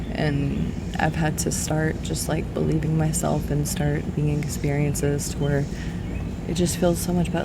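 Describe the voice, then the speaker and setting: Someone soft-spoken talks at a moderate pace with noticeable background noise. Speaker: beauty vlogger. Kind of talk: casual chat. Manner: rambling.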